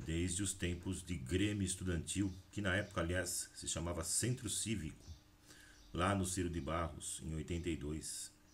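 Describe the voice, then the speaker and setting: A somewhat breathy man with a very deep, low pitch, at a moderate pace and with fairly even intonation. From Brazil, Valinhos (São Paulo state). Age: 40s. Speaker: teacher and local politician. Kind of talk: political address to camera.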